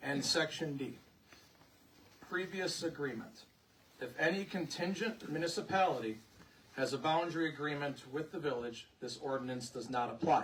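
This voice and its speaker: A man with a fairly high pitch uses lively intonation and takes long, frequent pauses. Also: moderate pace. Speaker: village president. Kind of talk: presentation at public hearing. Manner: loud.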